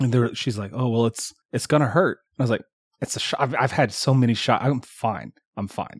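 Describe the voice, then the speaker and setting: A man's somewhat breathy, medium-pitched voice at a fairly quick pace, with ordinary pitch variation. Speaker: podcast co-host. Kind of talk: casual chat. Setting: home office.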